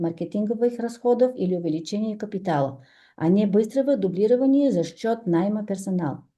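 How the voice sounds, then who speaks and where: Her tone is dark and mellow, set at a fairly high pitch for a woman, with lively intonation. She speaks at a moderate pace against a quiet background. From Bulgaria. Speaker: entrepreneur, business speaker. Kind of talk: presentation read from phone. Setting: stage with audience. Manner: halting, many fillers.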